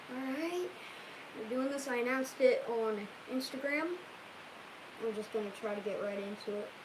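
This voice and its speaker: A woman's high-pitched voice is heard with audible room echo over noticeable background noise. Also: ordinary pitch variation, moderate pace. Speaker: YouTuber recording a cat video. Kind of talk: casual livestream chat with script takes. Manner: halting, repeats words.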